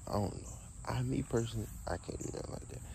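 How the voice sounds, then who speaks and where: Over noticeable background noise, a man talks very fast with vocal fry and a dark, mellow tone, the sound dry with no echo. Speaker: vlogger. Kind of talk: casual vlog chat. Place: garden. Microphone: phone near.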